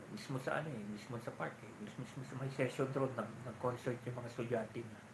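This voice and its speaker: A soft-spoken man at a medium pitch and very fast pace, with fairly even intonation, noticeable background noise and audible room echo. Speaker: live-stream vlogger. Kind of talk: casual live-stream chat. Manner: soft-spoken, lowered voice.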